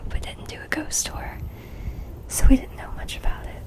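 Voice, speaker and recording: A woman is whispering against noticeable background noise. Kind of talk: casual talk to camera. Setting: studio microphone recording. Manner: whispered, soft-spoken.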